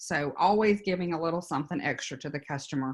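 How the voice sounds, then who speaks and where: Over a quiet background, a woman with a Louisiana accent talks at a fairly quick pace in a very deep, low pitch with ordinary pitch variation. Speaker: business consultant. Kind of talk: workshop presentation.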